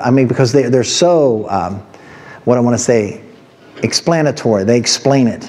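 Pitch variation stays ordinary as a man speaks. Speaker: pastor. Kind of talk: sermon. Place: church.

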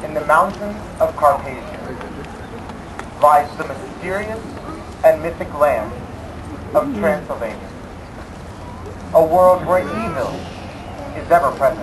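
A man talks with long, frequent pauses. Noticeable background noise runs behind him. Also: moderate pace, big swings in loudness. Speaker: stadium announcer, show narrator. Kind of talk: formal announcement and dramatic narration. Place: stadium.

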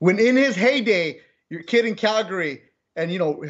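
A man with lively intonation over a quiet background. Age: 40s. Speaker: sports podcast host. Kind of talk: casual chat. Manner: fast. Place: home room. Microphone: earbuds.

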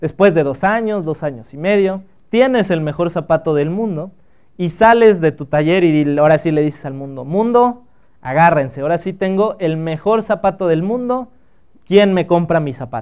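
Lively intonation carries over a quiet background. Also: man, high pitch for a man, moderate pace. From Mexico, Acapulco (Guerrero); Guerrero, Mexico. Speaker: biotechnologist and entrepreneur giving a talk; guest. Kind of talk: workshop talk to students. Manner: casual, conversational with filler words. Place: hall.

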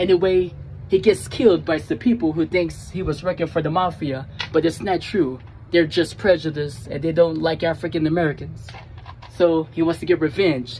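Music sits in the background while the voice moves at a moderate pace. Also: man. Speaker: skit creator. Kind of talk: casual vlog chat. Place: street. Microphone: phone near.

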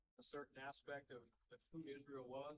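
Light background noise sits behind a man speaking. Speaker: preacher. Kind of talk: sermon. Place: church.

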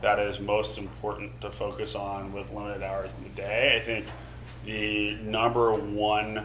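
A man talks at a moderate pace in an ordinary speaking voice, fairly low in pitch. His intonation is lively, with light background noise behind him. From Tulsa, Oklahoma, US; Oklahoma. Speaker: startup CEO; guest. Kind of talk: fireside chat talk. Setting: stage with live audience. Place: hall.

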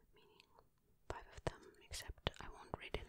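Whispering and soft-spoken, the voice moves at a fairly slow pace with a playful tone. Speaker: ASMR creator. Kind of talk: soft-spoken ASMR chat and reading. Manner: soft ASMR whisper, playful aside.

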